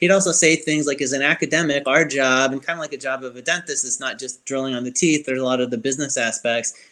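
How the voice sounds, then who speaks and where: This voice has a bright, sharp tone and an American accent, moving at a very fast pace with hardly any pauses and ordinary pitch variation on a very clean recording with a silent background. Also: man, fairly high pitch for a man. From Chicago, US Midwest. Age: 30s.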